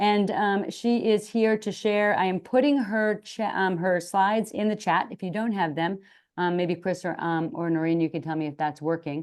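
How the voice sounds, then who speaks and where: Over a quiet background, a woman with a normal speaking voice talks at a moderate pace and medium pitch with ordinary pitch variation. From Boston area, US. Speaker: occupational therapist and webinar co-host. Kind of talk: webinar introduction.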